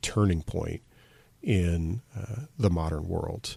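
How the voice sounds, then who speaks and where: Over a silent background in a very clean recording, a man with an American accent talks very slowly in a very deep, low pitch that is somewhat breathy. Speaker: podcast host. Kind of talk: casual podcast talk. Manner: unscripted, hesitant with fillers.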